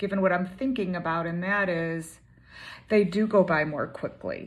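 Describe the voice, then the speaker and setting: Using a normal speaking voice, a woman talks at a moderate pace with a medium pitch and fairly even intonation. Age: 60s. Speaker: coach or consultant vlogger. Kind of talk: personal vlog monologue. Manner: casual, with fillers.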